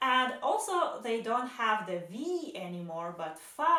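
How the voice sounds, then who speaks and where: Speaking very slowly in a Russian accent, a woman swings widely in pitch amid audible room echo. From Belarus. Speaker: vlogger. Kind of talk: casual vlog monologue.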